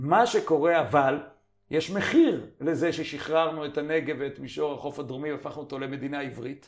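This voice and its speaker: Using an ordinary speaking voice, a man with a fairly high pitch talks at a moderate pace with fairly even intonation and big swings in loudness. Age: 50s. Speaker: journal editor and commentator. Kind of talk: interview.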